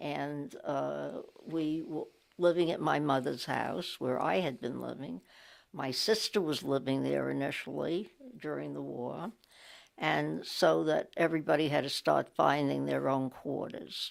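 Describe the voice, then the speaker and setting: A woman with a New York accent at a fairly slow pace. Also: very clean recording, silent background. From New York City (Brooklyn). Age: 80s+. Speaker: interviewee sharing local history. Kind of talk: oral history interview. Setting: library recording booth. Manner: halting, frequent fillers.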